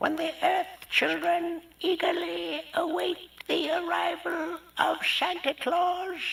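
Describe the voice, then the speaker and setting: Someone delivers a put-on character voice at an extremely high pitch and a very slow pace. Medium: read story.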